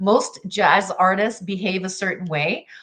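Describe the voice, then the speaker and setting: In a Canadian accent, a woman of medium pitch talks at a moderate pace with an animated, bright, sharp tone. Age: 60s. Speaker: jazz singer and life coach. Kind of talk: motivational talk.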